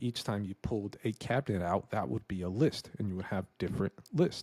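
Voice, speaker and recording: Against a quiet background, a man with a fairly low pitch talks at a fairly quick pace with ordinary pitch variation. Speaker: real estate investor; presenter. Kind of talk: screen-share tutorial. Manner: casual. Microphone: studio mic.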